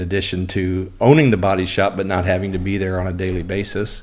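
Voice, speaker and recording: A man with an American accent speaks at a fairly quick pace. His pitch is very deep and low, and audible room echo surrounds it. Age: 60s. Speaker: auto body shop owner and business coach. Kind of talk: interview, life story.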